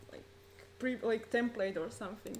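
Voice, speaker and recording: A woman's voice carries audible room echo. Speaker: conference presenter. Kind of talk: conference talk.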